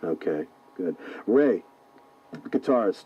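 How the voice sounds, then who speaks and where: There is noticeable background noise in this clip. Over it, a man talks with an American accent. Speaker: radio DJ host. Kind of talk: radio show host interview. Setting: radio broadcast. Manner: casual, conversational interviewer.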